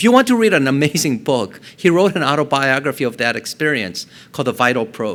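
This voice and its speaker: Talking very fast, a man with a Korean accent uses a fairly high voice with lively intonation. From South Korea, moved to Colorado at ten. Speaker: neurosurgeon. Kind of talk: public talk.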